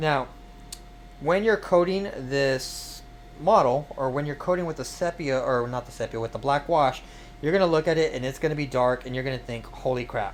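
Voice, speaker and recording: A man's fairly high voice carries ordinary pitch variation and a moderate pace, with noticeable noise in the background. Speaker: streamer and miniature painter. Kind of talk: live-streamed painting tutorial. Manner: casual, hesitant with fillers; mumbling at times.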